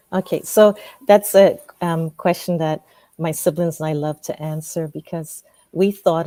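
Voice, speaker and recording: A woman speaks at a moderate pace with a dark, mellow tone and a very deep, low pitch. The sound is dry and close, with no echo. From Ghana (Ashanti). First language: Twi. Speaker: professor. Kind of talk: interview.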